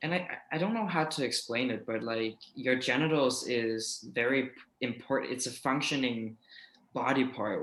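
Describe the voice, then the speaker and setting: In a Danish accent, a man speaks at a moderate pace with a medium pitch and a bright, sharp tone. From Denmark. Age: 20s. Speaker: YouTuber. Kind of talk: casual interview.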